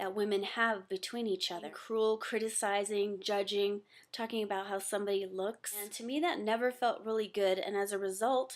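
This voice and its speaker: A woman at a medium pitch in an ordinary speaking voice, on a very clean recording with a silent background. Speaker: webinar attendee giving a testimonial. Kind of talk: testimony.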